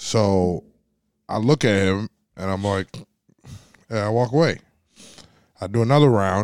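Recorded with a dry, close sound and no echo, a man talks at a fairly slow pace and fairly low pitch, with ordinary pitch variation and long, frequent pauses. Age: 30s. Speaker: podcast host. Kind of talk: casual chat.

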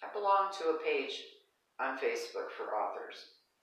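A woman is talking. Her speech carries audible room echo. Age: 60s. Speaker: wellness podcast host. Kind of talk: casual chat. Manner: animated.

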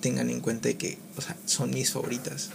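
A man speaks at a very slow pace with very wide pitch swings, and there is noticeable background noise. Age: 20s. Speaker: podcaster. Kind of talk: casual monologue. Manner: halting, many fillers.

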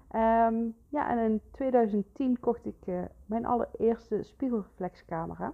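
Moving at a very slow pace, a woman talks with a fairly high pitch. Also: ordinary pitch variation. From Netherlands, North Brabant. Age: 30s. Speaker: photographer and podcast host. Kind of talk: solo podcast monologue. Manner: halting, many fillers.

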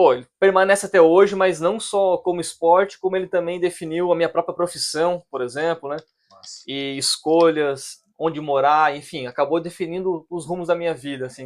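A man's high-pitched voice keeps a fairly even intonation. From Brazil, Criciúma, Santa Catarina. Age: 30s. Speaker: oceanographer. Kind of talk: casual chat.

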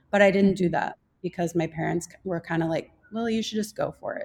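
Her voice is a plain, everyday voice with an American accent. This woman has medium pitch and ordinary pitch variation. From US Midwest, Minnesota. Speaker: holistic nutrition practitioner. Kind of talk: casual interview conversation.

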